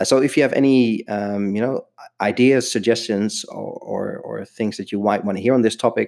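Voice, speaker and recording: A man with a Dutch accent talks at a fairly quick pace in a dark, mellow tone. His intonation stays fairly even on a very clean recording with a silent background. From Netherlands. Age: 30s. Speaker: stay-at-home dad podcaster. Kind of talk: solo podcast monologue. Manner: hesitant with frequent fillers.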